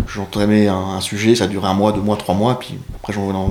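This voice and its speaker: With noticeable background noise and audible room echo, a man speaks at a moderate pace in a fairly low pitch. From northern France. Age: 40s. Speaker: e-commerce CEO. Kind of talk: interview. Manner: hesitant, many fillers.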